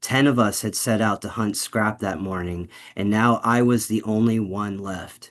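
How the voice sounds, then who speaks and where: Over a quiet background, a man with an unremarkable speaking voice talks at a fairly low pitch with fairly even intonation. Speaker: narrator reading a story aloud. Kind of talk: cold read of a first-person dark fantasy story.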